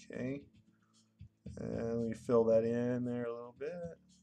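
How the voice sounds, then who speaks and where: Music plays in the background as a man talks at a fairly slow pace. His tone is relaxed. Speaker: drawing teacher. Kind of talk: live tutorial. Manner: relaxed, hesitant with fillers.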